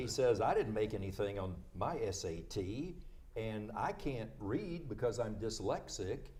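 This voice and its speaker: With a dark, mellow tone that is somewhat breathy, a man at medium pitch uses lively intonation at a fairly slow pace. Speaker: veteran radio co-host. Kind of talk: live radio-style political banter.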